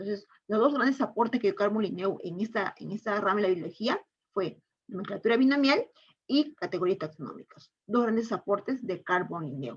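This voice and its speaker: A woman's somewhat breathy voice moves with lively intonation. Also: medium pitch for a woman. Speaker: teacher. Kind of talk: online lecture. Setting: online class. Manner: fast.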